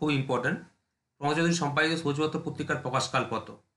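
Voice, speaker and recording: There is audible room echo around this man's bright, sharp voice. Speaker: exam prep teacher. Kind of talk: lecture.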